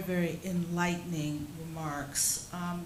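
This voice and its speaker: Heard with noticeable background noise and audible room echo, a woman speaks at a fairly low pitch with an American accent. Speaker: session chair. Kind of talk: formal moderation. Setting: hotel seminar with audience. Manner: formal.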